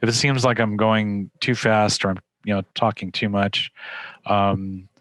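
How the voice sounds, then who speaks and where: A man speaks in a fairly low pitch with monotone, flat intonation. His loudness stays very even, and the sound is dry and close with no echo. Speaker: hiring manager in data science. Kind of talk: webinar presentation. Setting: online webinar. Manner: fast; halting, many fillers.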